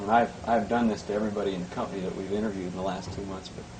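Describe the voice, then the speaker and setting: A man talks at a very fast pace with ordinary pitch variation. Both noticeable background noise and audible room echo can be heard. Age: 20s. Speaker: company interviewer. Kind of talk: interview. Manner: halting.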